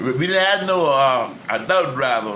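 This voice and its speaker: With an American accent and lively intonation, a man speaks at a fairly high pitch over noticeable background noise. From Beaufort, South Carolina. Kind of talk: interview answer.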